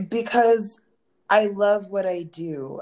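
A woman with an American accent speaks very slowly in a dark, mellow tone. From Philadelphia area, Pennsylvania. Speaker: content creator and musician. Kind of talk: casual chat.

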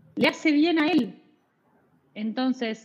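Her pace is fairly slow. The woman's intonation stays lively. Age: 40s. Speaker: psychologist, adoption specialist. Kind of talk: interview.

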